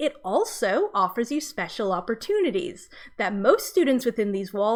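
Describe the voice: What you hear is plain reading aloud.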